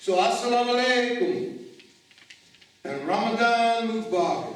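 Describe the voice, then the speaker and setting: Male speech amid noticeable background noise and audible room echo. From Chicago, raised by Mississippi-born parents. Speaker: minister. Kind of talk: sermon. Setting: church service, in-person and virtual. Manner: animated.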